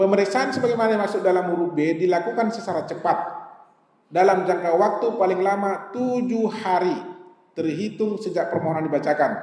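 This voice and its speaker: Through audible room echo and noticeable background noise, a man with a North Sumatran accent speaks at a fairly quick pace in a high pitch with ordinary pitch variation. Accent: Batak-flavoured accent even in Javanese. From Sumatra, Indonesia. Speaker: judge giving a legal training talk. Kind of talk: lecture. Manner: conversational, mixing in Javanese asides.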